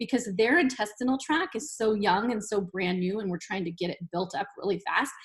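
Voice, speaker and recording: This woman's voice sits at a medium pitch and sounds somewhat breathy. She moves at a fairly quick pace with lively intonation. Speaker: college nutrition instructor. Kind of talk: lecture. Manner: fast; casual, conversational.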